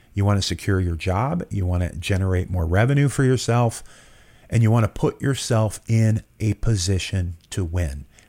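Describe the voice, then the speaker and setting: A man with a plain, everyday voice, fairly low-pitched with ordinary pitch variation, at a moderate pace on a very clean recording with a silent background. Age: 50s. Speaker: podcast host and entrepreneur. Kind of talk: interview podcast.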